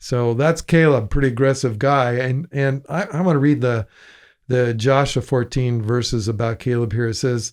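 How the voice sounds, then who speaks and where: At a moderate pace, a man with an unremarkable speaking voice talks in a medium pitch over a quiet background. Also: ordinary pitch variation. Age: 60s. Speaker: pastor. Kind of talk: casual Bible discussion podcast.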